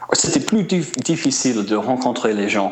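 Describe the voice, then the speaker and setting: Over noticeable background noise and audible room echo, a man with an American accent speaks at a very slow pace. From US Midwest (small town Indiana). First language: English (speaking French). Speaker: musician and traveler. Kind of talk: interview. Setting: remote line to radio show. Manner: halting, many hesitations.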